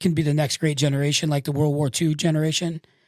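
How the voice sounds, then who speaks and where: A man with an American accent speaks at a fairly high pitch in a flat monotone. The recording is very clean and silent, dry and close with no echo. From Michigan. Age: 60s. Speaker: tattoo artist and public speaker. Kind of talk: casual interview. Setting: studio.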